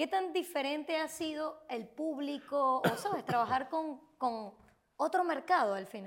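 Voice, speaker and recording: A woman's high pitch and lively intonation at a fairly slow pace. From Venezuela, Maracaibo. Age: young. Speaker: podcast host. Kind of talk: interview. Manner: animated.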